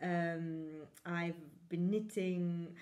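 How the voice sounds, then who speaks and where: With an Italian accent, a woman speaks at a fairly low pitch in a monotone, flat intonation. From Italy. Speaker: knitting podcaster. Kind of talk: casual chat. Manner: hesitant, many fillers.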